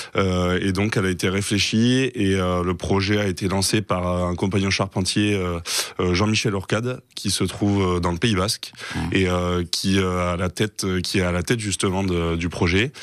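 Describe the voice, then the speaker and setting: Against a quiet background with a dry sound and no echo, a man with a very deep, low pitch speaks fairly slowly with hardly any pauses, fairly even intonation and very even loudness. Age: 20s. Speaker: carpenter and trainer; trainer. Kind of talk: interview; interview answer. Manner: halting. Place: studio. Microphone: studio mic.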